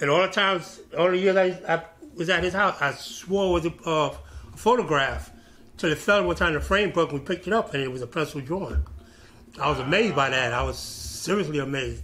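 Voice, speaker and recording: With a New York accent, a man speaks at a high pitch. His pitch variation is ordinary. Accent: New York City. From Brooklyn, New York City; New York City. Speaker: former graffiti writer; interviewee. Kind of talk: oral history interview. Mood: relaxed, nostalgic. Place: office.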